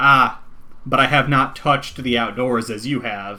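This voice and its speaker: A man in a put-on character voice at a medium pitch. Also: moderate pace. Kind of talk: formal, archaic phrasing. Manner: laughing, taunting.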